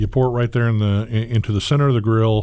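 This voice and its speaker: The speech comes at a very fast pace, with a dark, mellow tone and fairly even intonation. The recording is very clean, its background silent. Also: man. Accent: Southern US. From US South, Gulf Coast. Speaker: chef. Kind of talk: cooking demo interview. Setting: kitchen. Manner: rambling, halting.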